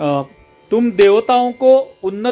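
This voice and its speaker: A man with a Marathi accent, with music in the background. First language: Marathi (speaking Hindi). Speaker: scripture teacher. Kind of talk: scripture reading and explanation. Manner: halting.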